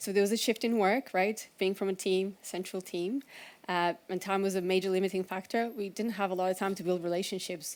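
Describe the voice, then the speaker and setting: A woman at a medium pitch talks at a fairly quick pace with fairly even intonation, on a very clean recording with a silent background. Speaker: conference speaker, agile coach. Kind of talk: conference talk. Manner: fast.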